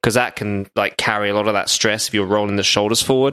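A man with a British accent talks at a very fast pace. His tone is bright and sharp. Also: very clean recording, silent background. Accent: British, mistaken by host for Australian. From UK. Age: 30s. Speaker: podcaster. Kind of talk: casual chat.

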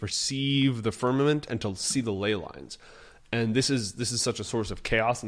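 A natural-sounding voice reads a passage aloud.

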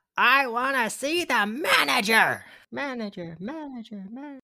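Someone shouts loudly in a put-on character voice pitched fairly high. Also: moderate pace. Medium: actual play. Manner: indignant, theatrical.

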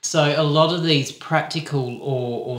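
A man speaks at a very slow pace with an Australian accent. His intonation stays fairly even over noticeable background noise. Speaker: podcast co-host. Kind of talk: podcast conversation.

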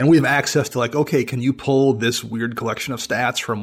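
An ordinary speaking voice from a man at medium pitch, fairly quick and fairly even in intonation, on a very clean recording with a silent background. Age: 40s. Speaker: podcaster and writer. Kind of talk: casual chat.

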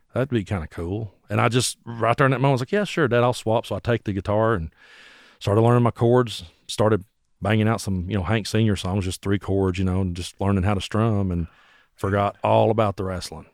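A man with an Appalachian accent, fairly low in pitch with ordinary pitch variation, at a fairly quick pace, in a dry, close sound with no echo on a very clean recording with a silent background. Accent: Appalachian Southern US. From US South, Bell County, Kentucky. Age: 40s. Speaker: singer-songwriter and internet radio host. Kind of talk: casual chat.

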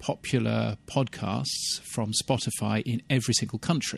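Speech comes at a fairly slow pace. It carries a British accent. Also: man. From England, UK. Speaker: radio consultant and podcast newsletter writer. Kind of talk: casual interview chat. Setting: outdoors.

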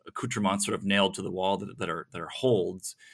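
A man at a fairly low pitch and a very fast pace, with fairly even intonation, on a very clean recording with a silent background. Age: 50s. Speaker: author and journalist. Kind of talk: interview. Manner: halting, with many repetitions.

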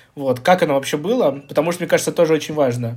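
This man's voice sits fairly high. He talks very fast. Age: 30s. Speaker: podcast co-host, hospice coordinator. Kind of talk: casual chat.

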